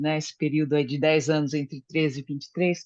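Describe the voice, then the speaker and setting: The recording of this woman's very deep, low-pitched voice has a dry, close sound with no echo. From Brazil, Japanese-Brazilian family. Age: 60s. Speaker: study group participant, psychology professional. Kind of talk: group discussion, personal testimony. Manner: hesitant, many fillers.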